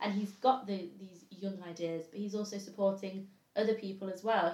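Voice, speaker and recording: Somewhat breathy, a woman at medium pitch speaks fairly quickly in a dark, mellow tone with fairly even intonation. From Derbyshire, England. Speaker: political discussion panelist. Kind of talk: casual political debate.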